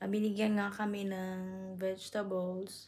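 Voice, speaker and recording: Soft-spoken and somewhat breathy, with a dark, mellow tone and monotone, flat intonation. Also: woman. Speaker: vlogger. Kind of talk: casual vlog. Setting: at home. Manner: soft-spoken, lowered voice.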